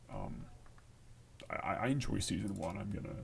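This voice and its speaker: A man's voice comes through with audible room echo and noticeable background noise. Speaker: programming livestreamer. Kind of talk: live coding stream. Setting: livestream at home. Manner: quiet; halting.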